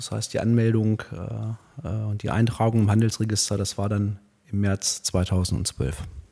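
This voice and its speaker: A man speaks very slowly at a medium pitch, his tone dark and mellow, on a very clean recording with a silent background. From Germany, Hildesheim (Lower Saxony). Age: 40s. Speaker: company founder. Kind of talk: interview. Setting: studio. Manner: hesitant, many fillers.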